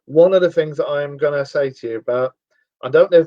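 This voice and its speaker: Talking at a very fast pace, a man speaks with a London accent. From northern England, Cheshire (Sale, Timperley). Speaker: radio show host. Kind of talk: casual chat.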